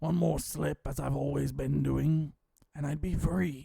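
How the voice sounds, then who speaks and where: A man's raspy, put-on character voice at medium pitch, delivered at a moderate pace. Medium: read story. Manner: formal, measured.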